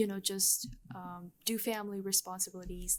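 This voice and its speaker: A woman at medium pitch with a slight non-native accent, at a fairly slow pace. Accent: slight foreign. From Bangladesh, Chittagong. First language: Bengali. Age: 20s. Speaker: university student. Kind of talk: interview. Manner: fluent but halting with many ums.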